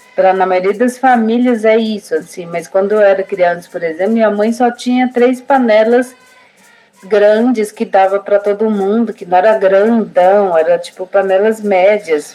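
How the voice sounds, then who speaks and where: There is noticeable background noise. A woman speaks at a medium pitch with fairly even intonation. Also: moderate pace. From Brazil, Guarani village in southern São Paulo. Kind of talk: casual interview conversation.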